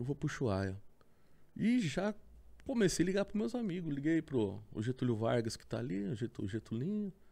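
Dark, mellow tone with very wide pitch swings. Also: man, fairly high pitch for a man, moderate pace. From Sorocaba, São Paulo state, Brazil. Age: 40s. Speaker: motorcycle traveler. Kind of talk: casual chat. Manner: animated.

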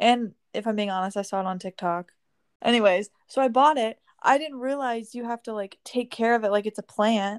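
Her normal speaking voice sits at a fairly high pitch with ordinary variation, as a woman talks at a moderate pace on a very clean, dry, close recording with a silent background and no echo. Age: 19. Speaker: podcast co-host. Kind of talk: casual chat.

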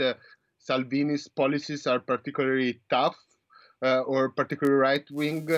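Spoken with an Italian accent, the voice sounds dry and close with no echo, against a quiet background. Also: man. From Italy. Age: 20s. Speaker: PhD student. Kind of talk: interview. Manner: halting, many fillers.

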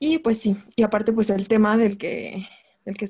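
A woman speaks at a fairly high pitch with a dark, mellow tone. Her voice is somewhat breathy and her pace fairly slow. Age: 20s. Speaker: podcast guest. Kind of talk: casual chat. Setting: remote call.

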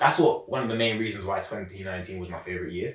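A man speaks with a London accent. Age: 20s. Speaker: young entrepreneur and public speaker. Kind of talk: casual interview.

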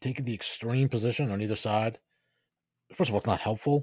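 In a very clean recording with a silent background and a dry, close sound free of echo, a man with an American accent talks at a fairly quick pace in a somewhat breathy voice with fairly even intonation. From New York. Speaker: podcast host. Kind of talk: commentary with reading aloud.

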